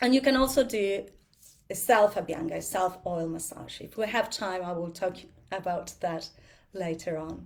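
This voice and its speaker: With an Argentinian accent, a woman talks at a moderate pace in a medium-pitched voice with vocal fry, ordinary pitch variation and big swings in loudness. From Argentina. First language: Spanish. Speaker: yoga and ayurveda teacher. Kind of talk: talk to a group. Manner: halting, with fillers; animated, talks with hands.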